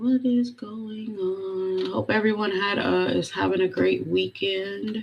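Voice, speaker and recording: The pace is very slow. There are hardly any pauses. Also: woman. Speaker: live stream host. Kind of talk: casual live stream talk. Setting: live stream.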